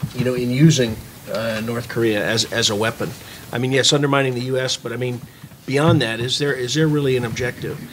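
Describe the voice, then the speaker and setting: A man's voice with fairly even intonation over light background noise. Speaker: panel discussant, former military; panel discussant. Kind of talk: panel discussion. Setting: stage with audience. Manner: halting, repeats words. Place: meeting room. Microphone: podium.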